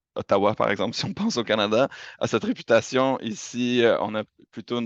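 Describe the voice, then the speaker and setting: Against a quiet background, with a dry, close sound and no echo, the speaker talks at a moderate pace in a Quebec accent. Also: man. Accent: Quebec French accent, noticeable. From Quebec, Montreal. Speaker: university representative. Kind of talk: presentation. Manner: hesitant, many fillers.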